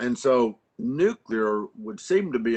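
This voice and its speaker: Medium-pitched and with an American accent, a man uses lively intonation in an ordinary speaking voice. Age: 60s. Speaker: congressman. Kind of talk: congressional hearing questioning. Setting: virtual remote hearing.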